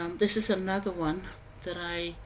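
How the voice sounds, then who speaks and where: Through audible room echo, a woman speaks at a very slow pace, her fairly low pitch held in fairly even intonation. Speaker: home gardening vlogger. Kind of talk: voiceover narration. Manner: hesitant, many fillers.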